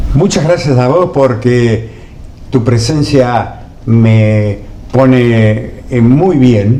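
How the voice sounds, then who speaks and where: Recorded with audible room echo and noticeable background noise, a man talks at a very slow pace with a medium pitch, very even loudness and ordinary pitch variation. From Argentina, Buenos Aires province. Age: 70s. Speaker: journalist and former TV producer. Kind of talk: interview.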